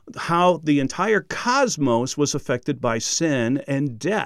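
Recorded very cleanly against a silent background, a man with a fairly high pitch speaks at a very slow pace. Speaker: Bible teacher and podcast host. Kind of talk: teaching lecture on Bible prophecy. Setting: recorded standing up. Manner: animated, not monotone, varied voice; excitable, enthusiastic.

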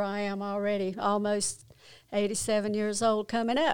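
A woman at a medium pitch speaks with fairly even intonation. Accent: North Carolina. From North Carolina, Kannapolis. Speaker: church pianist sharing testimony. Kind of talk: testimony.

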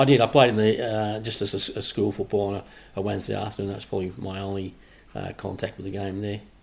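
A man talking at a very fast pace in a flat, monotone delivery. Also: fairly low pitch for a man, big swings in loudness. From northern England, near Manchester, emigrated to Australia at 13. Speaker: former footballer, referee and club administrator. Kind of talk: interview. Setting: at his home.

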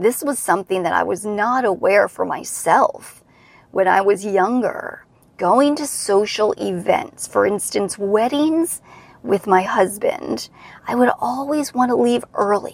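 In an ordinary speaking voice, a woman talks at a fairly slow pace with a medium pitch. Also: lively intonation. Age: 40s. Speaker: podcast host and pelvic health physical therapist. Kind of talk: solo podcast monologue, coaching talk.

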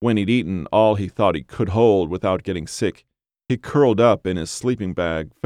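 An unforced reading voice carries ordinary pitch variation over a quiet background.

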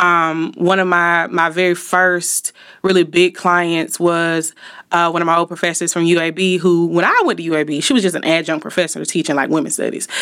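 In an Alabama accent, a woman speaks at a fairly quick pace with a fairly low pitch and monotone, flat intonation, in a very clean recording with a silent background. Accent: US South (Alabama). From Montgomery, Alabama. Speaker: marketing company owner. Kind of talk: interview conversation. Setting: studio.

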